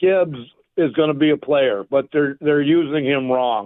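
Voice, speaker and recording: At a fairly slow pace, a man with a fairly high pitch speaks with ordinary pitch variation. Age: 60s. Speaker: caller. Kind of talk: sports radio call-in.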